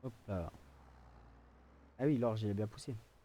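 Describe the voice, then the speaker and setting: Soft-spoken and fairly slow, a man talks with a dark, mellow tone, fairly low pitch and fairly even intonation. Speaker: gaming video creator. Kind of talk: gameplay commentary. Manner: hesitant, many fillers.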